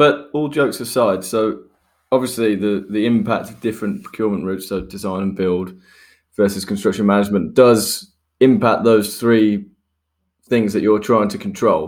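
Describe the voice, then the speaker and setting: A man with a plain, everyday voice speaks at a fairly low pitch with ordinary pitch variation. His moderate pace comes through on a very clean recording with a silent background. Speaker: podcast host in construction development. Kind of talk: casual podcast chat and interview. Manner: jovial, laughs often.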